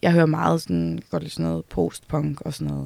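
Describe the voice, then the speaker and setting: This woman talks at a fairly quick pace. Her words come along briskly. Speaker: musician. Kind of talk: casual interview. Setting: music venue building.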